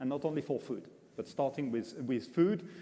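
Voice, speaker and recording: A man speaks with a French accent at a fairly high pitch. His tone is dark and mellow, and his pace is moderate. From France. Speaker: international food guide executive. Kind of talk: press conference Q&A. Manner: halting, many fillers.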